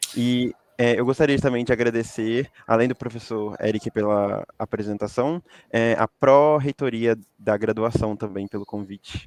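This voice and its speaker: A man with a Rio de Janeiro accent, medium pitch and fairly even intonation, at a fairly slow pace in a dry, close sound with no echo. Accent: Rio de Janeiro accent, noticeable. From interior of Rio de Janeiro state, Itaperuna. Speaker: recent graduate. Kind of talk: interview. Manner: hesitant, many filler sounds.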